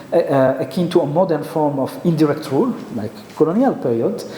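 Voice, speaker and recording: A man with a French accent speaks at a moderate pace in a high pitch. The recording carries noticeable background noise and audible room echo. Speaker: geopolitical expert. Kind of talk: conference presentation. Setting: conference with audience. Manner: halting.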